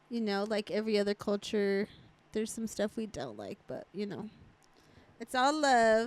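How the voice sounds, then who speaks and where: The speech moves at a moderate pace in a Spanish accent, broken by long, frequent pauses. The sound is dry and close, with no echo. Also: woman, fairly high pitch for a woman, ordinary pitch variation. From Mexican-American, US. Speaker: podcast host. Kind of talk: casual chat.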